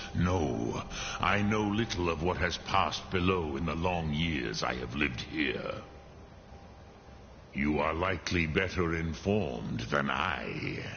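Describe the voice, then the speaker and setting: A man puts on a character voice with a very deep, low pitch at a fairly slow pace. Background noise is clearly audible. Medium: video game. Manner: slow, solemn, measured.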